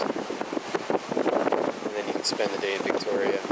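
Loud noise fills the background while a man talks. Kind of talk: casual vlog chat. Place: boat. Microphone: phone near.

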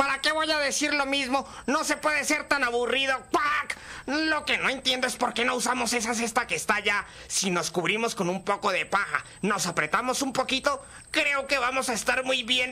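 At a moderate pace, a cartoonish character voice speaks with a fairly high pitch. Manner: casual, sarcastic, punctuated by quacks.

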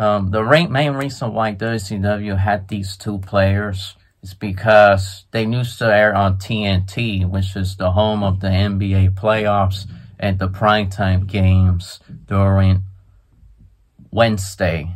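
This man's voice sits fairly low and moves at a fairly slow pace. His intonation is flat and monotone. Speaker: sports and wrestling vlogger. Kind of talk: casual talk to camera, commentary on wrestling news. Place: home room. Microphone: phone near.

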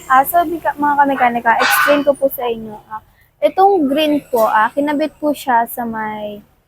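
A woman speaks at a fairly slow pace with lively intonation while music plays in the background. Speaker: mechanic vlogger. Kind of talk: tutorial. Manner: halting with many fillers.

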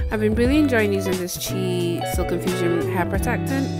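Loud music plays behind a woman's voice. The sound is dry, with no echo. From Fiji. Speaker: beauty vlogger. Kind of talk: casual talk to camera. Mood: friendly, relaxed. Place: home room. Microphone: phone near.

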